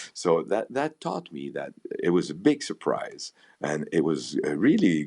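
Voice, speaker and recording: Speaking very slowly, a man talks with a Quebec accent. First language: French. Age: 60s. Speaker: violinist, conductor and music professor. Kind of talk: interview conversation. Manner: halting, with false starts and repetitions.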